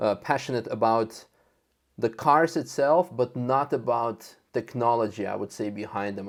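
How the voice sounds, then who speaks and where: Speech comes at a moderate speed. It is delivered in a Russian accent. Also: man. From Russia (Moscow) then Netherlands. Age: 30s. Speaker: car content creator and racing driver. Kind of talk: podcast interview. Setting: video call. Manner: halting.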